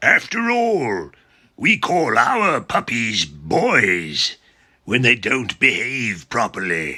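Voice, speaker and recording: Putting on a raspy character voice, a man with a medium pitch speaks at a very slow pace. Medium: read story. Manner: calm, reasoning.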